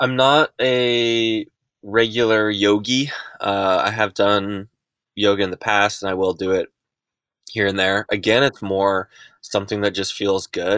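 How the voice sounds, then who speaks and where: A man talks at a fairly slow pace with a fairly low pitch and fairly even intonation over a quiet background. It is an ordinary speaking voice. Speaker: professional mountain bike and gravel racer. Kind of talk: interview.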